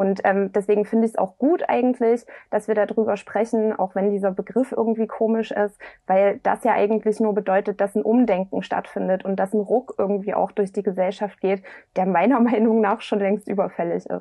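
This woman has a normal speaking voice at a medium pitch with fairly even intonation. Her pace is moderate and her loudness very even. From eastern Germany, Dresden. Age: 20s. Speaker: politician. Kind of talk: interview.

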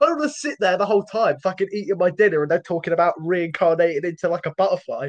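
A man with a British accent, high pitch, ordinary pitch variation and a very fast pace, in a dry, close sound with no echo and noticeable background noise. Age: young. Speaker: podcast co-host. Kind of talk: casual chat. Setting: home recording.

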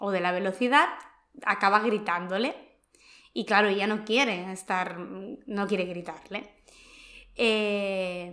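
A woman speaks at medium pitch. Her pace is very slow. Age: 30s. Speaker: personal development podcast host. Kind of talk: casual chat.

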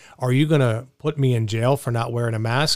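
A man's ordinary speaking voice, medium in pitch, at a moderate pace with ordinary pitch variation. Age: 40s. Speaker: radio talk show host. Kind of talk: call-in talk radio. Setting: radio studio.

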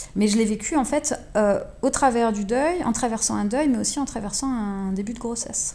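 She talks at a moderate speed, her pitch fairly high. The tone of her voice is dark and mellow. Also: ordinary pitch variation. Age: 30s. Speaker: visual artist. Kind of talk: interview. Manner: halting.

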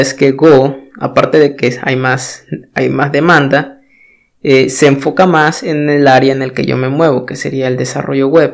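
A man with a Mexican accent speaks fairly high and very slowly in a monotone, flat intonation. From Mexico. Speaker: podcast host, web developer. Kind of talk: solo talk monologue. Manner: hesitant, many filler words.

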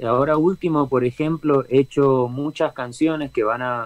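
A man at a medium pitch and fairly slow pace, in a Rioplatense accent. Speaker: reggae band singer. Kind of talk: interview. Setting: video call from home studio.

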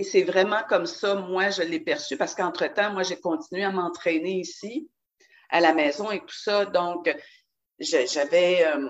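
A woman with a Quebec accent speaks fairly slowly at medium pitch, using lively intonation and big swings in loudness. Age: 60s. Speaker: dance class student. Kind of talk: casual interview. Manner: energetic.

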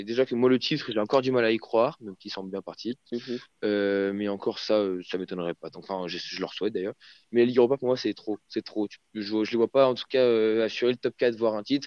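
Over a quiet background, a voice races along at a very fast pace with fairly even intonation and big swings in loudness, the sound dry and close with no echo. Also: man, medium pitch for a man. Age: 20s. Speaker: football fan, podcast guest. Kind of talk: casual football debate.

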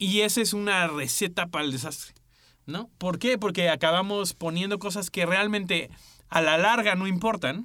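This very clean recording has a silent background. The raised, projected voice sounds bright and sharp, with ordinary pitch variation at a moderate pace. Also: man, high pitch for a man. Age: 30s. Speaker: podcast co-host. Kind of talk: casual chat.

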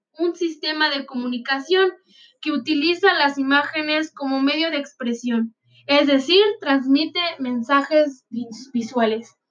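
Her pitch high, a woman speaks at a fairly slow pace. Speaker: student presenting a class assignment. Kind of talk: school presentation read aloud.

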